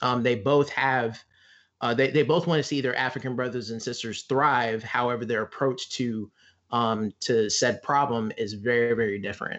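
A man's unremarkable speaking voice at a medium pitch, fairly even in intonation, at a moderate pace. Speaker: guest. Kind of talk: casual chat.

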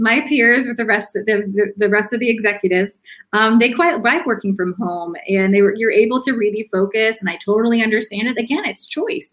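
The speaker moves at a fairly quick pace with hardly any pauses and ordinary pitch variation. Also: woman. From US South. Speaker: chief people officer. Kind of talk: interview conversation.

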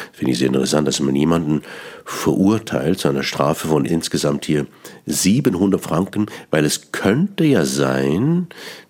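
A man's very deep, low voice at a fairly slow pace, with noticeable background noise. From Switzerland, Bern. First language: Swiss German (Bernese dialect) (speaking German). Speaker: cabaret artist and radio host. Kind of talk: radio monologue on language. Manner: halting, with repetitions.

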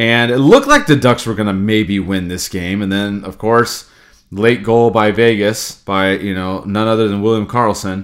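On a very clean recording with a silent background, a man with an unremarkable speaking voice talks at a moderate pace, his pitch fairly low and his intonation fairly even. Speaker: hockey podcast host. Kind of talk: casual sports talk podcast. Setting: recorded podcast.

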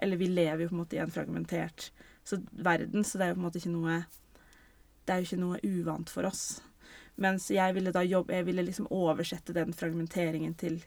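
Fairly low in pitch, a woman speaks at a fairly quick pace with fairly even intonation. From Norway. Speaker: theatre director. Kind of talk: casual interview. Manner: halting.

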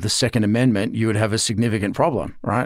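A man speaks with an Australian accent in a monotone, flat intonation. The recording is very clean with a silent background. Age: 50s. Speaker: professor and former army officer. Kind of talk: interview.

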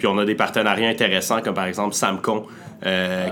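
With noticeable background noise behind him, a man speaks at a fairly low pitch in a monotone, flat intonation. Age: 20s. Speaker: entrepreneur. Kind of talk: interview. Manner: hesitant, many filler words.

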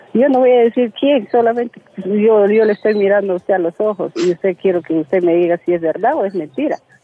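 A woman with a medium-pitched voice speaks in a Peruvian accent. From Peru, Loreto region. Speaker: caller. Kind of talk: casual chat. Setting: phone call. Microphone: poor line, hard to hear.

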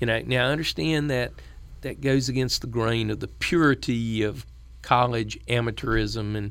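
A man with a Southern US accent in a very clean recording with a silent background. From western North Carolina. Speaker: former state supreme court justice. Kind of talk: interview. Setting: studio.

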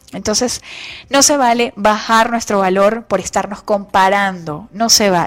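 Over noticeable background noise, a woman speaks at a medium pitch with ordinary pitch variation, an animated tone and a fairly slow pace. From Venezuela. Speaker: radio host. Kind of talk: motivational radio talk.

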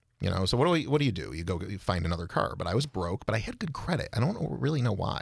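A man with an American accent, somewhat breathy, fairly low in pitch, with very wide pitch swings and a very fast pace, on a very clean recording with a silent background. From Rochester, New York. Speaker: filmmaker and small business owner. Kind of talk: casual chat.

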